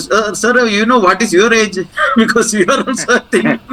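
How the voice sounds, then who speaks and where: A man speaks in a raised, projected voice. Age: 60s. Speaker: retiree, alumni group member. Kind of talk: vote of thanks and Q&A. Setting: video call. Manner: halting, many fillers.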